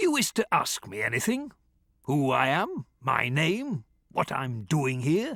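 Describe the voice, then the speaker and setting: A man's put-on, gruff character voice at a fairly high pitch and a fairly slow pace, with a dry, close sound and no echo. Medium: read story. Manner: gruff, volatile.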